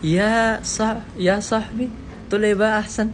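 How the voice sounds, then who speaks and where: A man speaks at a moderate pace with an Indonesian accent. Noticeable background noise and audible room echo fill the recording. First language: Indonesian (speaking Arabic). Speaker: language learner vlogger. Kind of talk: casual talk to camera. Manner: halting, many filler sounds.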